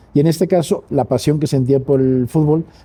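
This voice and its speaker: A man talks at a fairly quick pace in a fairly high, somewhat breathy voice. His tone is dark and mellow. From Mexico City, raised in Spanish family. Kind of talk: interview.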